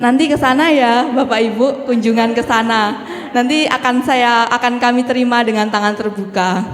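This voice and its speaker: Over noticeable background noise and audible room echo, a woman talks at a moderate pace in a high pitch. Her loudness stays very even and her intonation fairly even. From East Java, Banyuwangi. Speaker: Buddhist nun and Dhamma speaker. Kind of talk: Dhamma talk. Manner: casual, friendly with hesitations.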